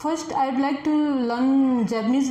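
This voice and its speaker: A woman with a Nepali accent and fairly even intonation, amid audible room echo and noticeable background noise. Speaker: test candidate. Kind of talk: speaking exam interview. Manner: halting, many fillers.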